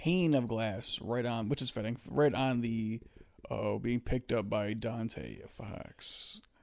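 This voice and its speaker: A man with a medium pitch talks at a very slow pace. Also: ordinary pitch variation. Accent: American. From USA. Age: 20s. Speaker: podcast co-host. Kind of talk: casual chat.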